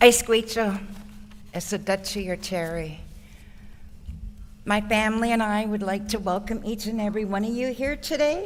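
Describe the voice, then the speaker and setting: A woman with long, frequent pauses and audible room echo. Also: fairly high pitch for a woman, ordinary pitch variation, moderate pace. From Songhees Nation, Victoria, British Columbia. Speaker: First Nations community member. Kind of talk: ceremonial welcome speech. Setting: ceremony at a conference centre.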